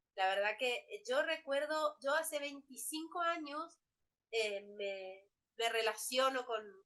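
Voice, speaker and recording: A woman speaks very slowly in a bright, sharp tone. Her intonation is lively. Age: 40s. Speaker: law professor. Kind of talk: lecture. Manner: halting.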